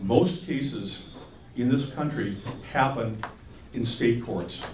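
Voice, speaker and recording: There is noticeable background noise and audible room echo. A man with a medium pitch speaks with lively intonation. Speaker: attorney. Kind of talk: lecture. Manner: fast.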